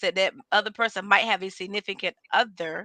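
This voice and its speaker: A woman's bright, sharp, medium-pitched voice with a Southern US accent, at a very fast pace, in a dry, close sound with no echo. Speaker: podcast co-host. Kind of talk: casual chat.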